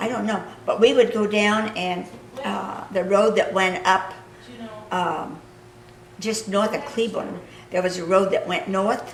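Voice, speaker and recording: Speaking with a Midwestern US accent at a fairly slow pace, the voice leaves long, frequent pauses amid audible room echo and noticeable background noise. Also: woman, medium pitch for a woman. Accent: rural Midwestern American. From Kansas. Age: 80s+. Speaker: local history interviewer. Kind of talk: reminiscing conversation.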